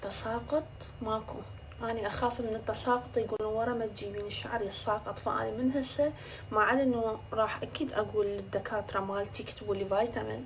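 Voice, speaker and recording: A woman's unremarkable speaking voice, fairly high in pitch, with fairly even intonation and a moderate pace. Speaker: social media influencer. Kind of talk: casual vlog talk to camera. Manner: chatty.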